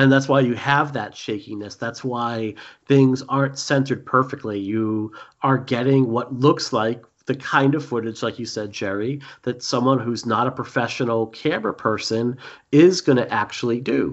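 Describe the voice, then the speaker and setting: Speaking in a Boston accent, a man keeps a medium pitch and fairly even intonation. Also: moderate pace. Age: 40s. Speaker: podcast host. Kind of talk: casual chat.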